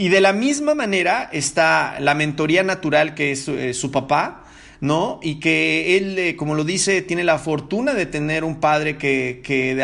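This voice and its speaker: A man talks at a moderate pace in a fairly high pitch. His tone is bright and sharp, with ordinary pitch variation. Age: 40s. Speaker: podcast host. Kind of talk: solo podcast monologue. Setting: living room at home. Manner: halting, many fillers.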